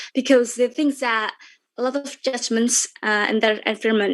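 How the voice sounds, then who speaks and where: The speaker has an Indonesian accent. The pitch variation is ordinary. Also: woman. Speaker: content creator. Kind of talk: webinar talk. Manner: halting.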